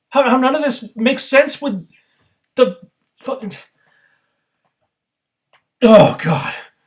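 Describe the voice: A man talks at a slow pace in an extremely high pitch. His intonation is lively, broken by long, frequent pauses.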